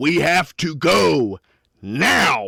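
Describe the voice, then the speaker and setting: This is a put-on character voice. Its pitch swings very widely. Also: man. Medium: actual play. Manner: gruff, profane.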